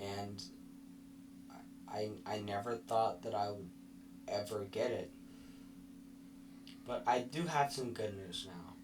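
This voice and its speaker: With long, frequent pauses, a man speaks at a fairly low pitch with ordinary pitch variation, and audible room echo is present. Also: fairly slow pace. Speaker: vlogger. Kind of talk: personal vlog recap. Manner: halting, mispronounces some words.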